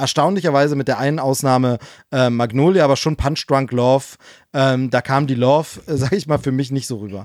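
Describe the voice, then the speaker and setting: A man talks at a fairly quick pace in an ordinary speaking voice, medium in pitch with ordinary pitch variation. The recording is very clean, with a silent background. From East Germany. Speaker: podcast co-host. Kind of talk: casual chat.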